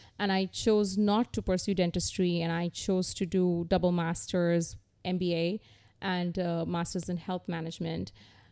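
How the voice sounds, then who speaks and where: A woman talks at a fairly low pitch in a dark, mellow tone with monotone, flat intonation. The recording is very clean, with a silent background. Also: moderate pace. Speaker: healthcare executive. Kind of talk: casual interview.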